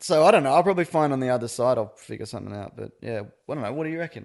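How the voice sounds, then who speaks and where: Speaking at a very fast pace, a man uses a fairly high pitch with vocal fry, very wide pitch swings, and big swings in loudness. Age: 30s. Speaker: podcaster, dad.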